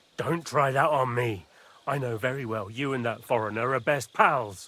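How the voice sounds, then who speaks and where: A man puts on a raspy character voice at a medium pitch. His pace is moderate and his pitch variation ordinary. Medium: video game. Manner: blustering, contemptuous.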